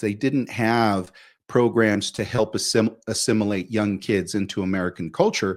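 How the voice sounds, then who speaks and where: A man talks in a normal speaking voice at a medium pitch. His fairly slow delivery comes through on a very clean recording with a silent background. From Mexico, moved to US at about five. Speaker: immigrant sharing life story. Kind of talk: interview conversation.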